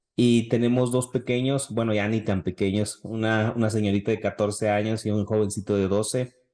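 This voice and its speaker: At a moderate pace and fairly low pitch, a man talks with hardly any pauses, very even loudness and monotone, flat intonation against a quiet background. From northern Mexico, Chihuahua city. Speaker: pastor. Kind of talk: podcast interview.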